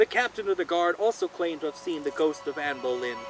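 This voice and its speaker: The voice comes through loud over noticeable background noise. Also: man. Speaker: horror storyteller, channel host. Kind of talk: spooky storytelling, ghost story narration. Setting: outdoors by a fire, recorded with a shotgun microphone. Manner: projected, loud.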